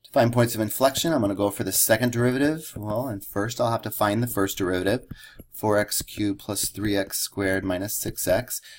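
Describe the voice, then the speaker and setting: Talking at a fairly quick pace, a man with a plain, everyday voice keeps a fairly low pitch and ordinary pitch variation. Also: big swings in loudness. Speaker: math teacher. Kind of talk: lecture.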